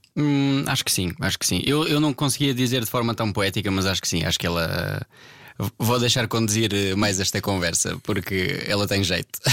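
An unremarkable speaking voice moves at a moderate pace with lively intonation and very even loudness. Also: man, fairly low pitch for a man. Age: 20s. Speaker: guitarist and producer. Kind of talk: casual chat.

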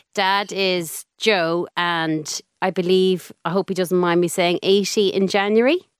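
A woman with an Irish accent at a very slow pace, with hardly any pauses and fairly even intonation, in a dry, close sound with no echo. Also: medium pitch for a woman. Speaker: podcast host. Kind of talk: interview.

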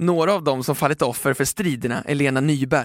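The recording is very clean, with a silent background and a dry, close sound with no echo. It carries an ordinary speaking voice with ordinary pitch variation. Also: man. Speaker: newspaper podcast host reading a feature article. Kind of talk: scripted narration.

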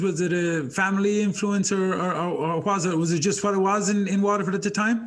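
A man with an Irish accent, high-pitched, at a fairly quick pace. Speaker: podcast host and coach. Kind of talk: casual interview chat.

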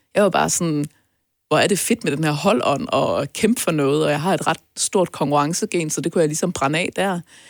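Through a very clean recording with a silent background, a woman in an ordinary speaking voice talks at a moderate pace and a fairly low pitch. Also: ordinary pitch variation. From North Jutland, Denmark. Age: 30s. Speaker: entrepreneur and podcast guest. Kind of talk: personal interview. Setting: studio.

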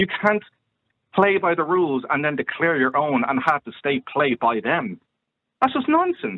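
Here a man speaks with an Irish accent. His pitch is fairly high and swings very widely. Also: moderate pace. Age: 30s. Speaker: caller. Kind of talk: phone-in discussion. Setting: phone call.

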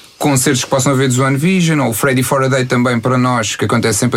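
A man talks very fast while noticeable background noise carries on behind him. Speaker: fan club organizer. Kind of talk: casual interview.

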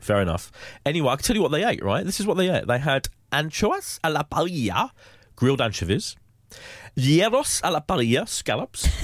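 Vocal fry and very wide pitch swings at a fairly quick pace, with very even loudness and a very clean recording over a silent background. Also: man, fairly high pitch for a man. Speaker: magazine entertainment director and podcast host. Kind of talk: casual chat. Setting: studio.

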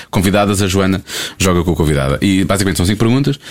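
Over noticeable background noise, a man talks at a very fast pace with a fairly low pitch. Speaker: radio podcast host. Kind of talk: quiz game; casual chat.

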